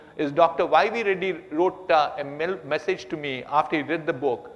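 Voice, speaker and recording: A high-pitched man at a fairly quick pace, with noticeable background noise. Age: 70s. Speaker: business executive and entrepreneur. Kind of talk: on-stage conversation.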